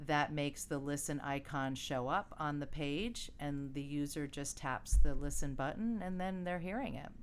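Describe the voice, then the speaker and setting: A woman with a very deep, low voice speaks in an animated tone at a moderate pace. Her pitch variation is ordinary and there are hardly any pauses. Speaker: startup founder. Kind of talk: casual interview. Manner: animated, laughs often.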